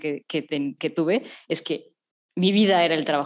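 A woman with a plain, everyday voice, fairly low in pitch with ordinary pitch variation, on a very clean recording with a silent background. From Mexico. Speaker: podcast host, therapist. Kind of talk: casual chat.

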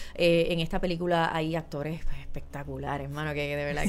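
A woman with a Puerto Rican accent talks at a very fast pace with a fairly low pitch. The recording has audible room echo and noticeable background noise. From Puerto Rico, Guayama (south). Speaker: actress. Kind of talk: casual interview.

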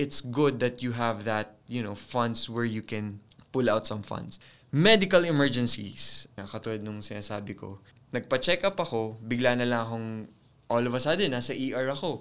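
The recording is very clean, with a silent background. A man speaks with ordinary pitch variation. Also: medium pitch for a man, moderate pace. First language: Tagalog. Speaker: personal finance podcaster. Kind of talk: casual solo podcast monologue.

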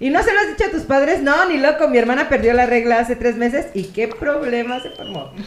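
The voice races at a fairly quick pace with hardly any pauses and very wide pitch swings, against noticeable background noise and audible room echo. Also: woman, high pitch for a woman. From Mexico, Querétaro. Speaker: podcast co-host. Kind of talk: casual chat, telling jokes.

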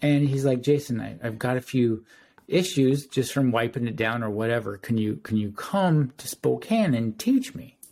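This man has an ordinary speaking voice at a medium pitch. His pace is moderate and his pitch variation ordinary. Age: 40s. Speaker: detailer and sanding block maker. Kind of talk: casual chat.

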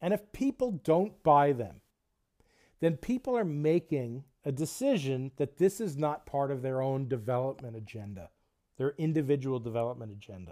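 A man's fairly high-pitched voice with a dark, mellow tone, lively intonation and a moderate pace, on a very clean recording with a silent background. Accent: New Jersey. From New Jersey, US. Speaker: podcast host, international development worker. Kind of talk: podcast intro monologue.

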